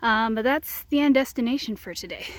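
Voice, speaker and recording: A woman talks at a fairly quick pace. Her pitch sits fairly high. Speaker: hiking vlogger. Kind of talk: vlog narration. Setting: outdoors. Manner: casual with fillers; keeping voice down.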